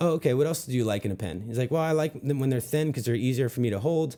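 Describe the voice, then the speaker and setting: With lively intonation and a dark, mellow tone, a man talks at a very fast pace and a medium pitch. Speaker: sales trainer. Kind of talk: sales tutorial with role-play. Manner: mumbling.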